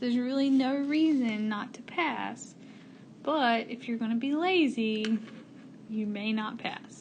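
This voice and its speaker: A woman speaks at high pitch with ordinary pitch variation. Room echo is audible. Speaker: math teacher. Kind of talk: tutorial. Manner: casual.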